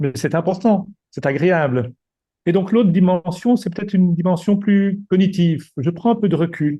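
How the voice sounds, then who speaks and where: A man's high-pitched voice with a dark, mellow tone, ordinary pitch variation and a moderate pace. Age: 60s. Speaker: retired executive and coach. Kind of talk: presentation. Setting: video call. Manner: halting.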